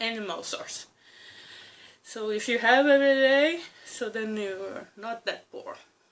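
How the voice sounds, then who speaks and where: A fairly high-pitched woman at a very slow pace, with long, frequent pauses and big swings in loudness. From Brazil. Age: 30s. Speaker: vlogger. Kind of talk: casual monologue. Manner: halting, with fillers and restarts.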